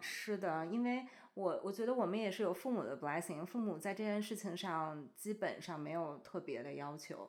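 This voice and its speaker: Here is a woman with a normal speaking voice at medium pitch. She speaks at a moderate pace with lively intonation. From China. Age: 30s. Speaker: bride-to-be friend. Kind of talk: casual chat.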